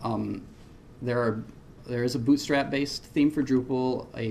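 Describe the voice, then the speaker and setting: Amid audible room echo, a man speaks at a moderate pace with fairly even intonation. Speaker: web developer presenting at a conference. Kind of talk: conference talk. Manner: hesitant, many fillers.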